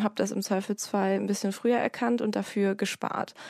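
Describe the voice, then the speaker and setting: A woman with a dark, mellow tone speaks at a fairly quick pace in a monotone, flat intonation, the sound dry and close with no echo in a very clean recording with a silent background. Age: 30s. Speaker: podcast host and online editor. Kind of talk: casual interview.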